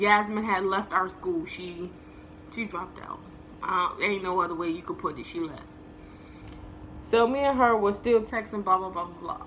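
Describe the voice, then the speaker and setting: A woman with an American accent speaks at a moderate pace and medium pitch, in an animated tone with ordinary pitch variation, long, frequent pauses and big swings in loudness. Audible room echo and noticeable background noise are present. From New Jersey. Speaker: vlogger. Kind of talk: casual storytelling.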